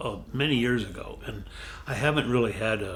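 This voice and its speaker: Audible room echo around a man's medium-pitched voice, fairly even in intonation, at a moderate pace. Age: 70s. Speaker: model and massage client. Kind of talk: casual interview.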